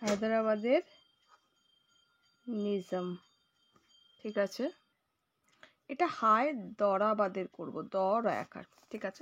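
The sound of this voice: Slowly and with long, frequent pauses, a woman speaks in a medium pitch with a fairly bright tone and ordinary pitch variation.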